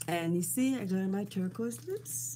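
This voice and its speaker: Somewhat breathy and dark, mellow in tone, a woman's voice moves at a fairly slow pace. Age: 70s. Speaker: beauty vlogger. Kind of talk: casual chat. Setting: live stream recording. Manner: chatty, informal.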